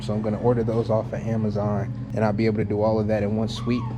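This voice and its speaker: A man speaks over noticeable background noise. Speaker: car-project YouTuber. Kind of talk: casual vlog talk. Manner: laid-back, casual slang.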